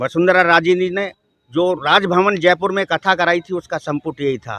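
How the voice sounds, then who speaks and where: Bright, sharp tone in a dry, close sound with no echo. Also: man. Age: 60s. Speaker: member of the public interviewed. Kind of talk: street interview opinion. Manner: animated.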